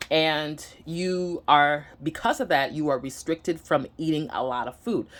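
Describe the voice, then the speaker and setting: A woman speaks with a slight Nigerian accent. Her pitch is very deep and low, with ordinary variation. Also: fairly slow pace, very clean recording, silent background. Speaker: vlogger. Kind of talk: personal vlog. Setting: home, sitting down to camera. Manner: halting, many fillers.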